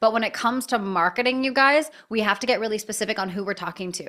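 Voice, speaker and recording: An animated tone with ordinary pitch variation. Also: woman. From Canada. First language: not English (unnamed). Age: 30s. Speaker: breathwork coach and business owner. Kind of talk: live online class.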